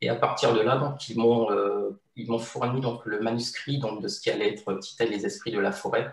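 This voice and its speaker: This man talks at a medium pitch and a moderate pace. He has hardly any pauses and ordinary pitch variation. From Martinique. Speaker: illustrator. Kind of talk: interview. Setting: video call. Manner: hesitant, many fillers.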